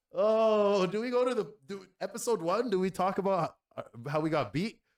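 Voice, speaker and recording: This is a man with a Canadian accent. His pitch is high. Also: ordinary pitch variation, moderate pace. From Canada, Toronto. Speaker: podcast co-host. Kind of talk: casual chat.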